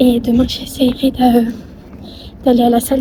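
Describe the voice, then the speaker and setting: A woman's high voice, flat and monotone, at a fairly slow pace over noticeable background noise. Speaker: vlogger. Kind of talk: casual vlog narration.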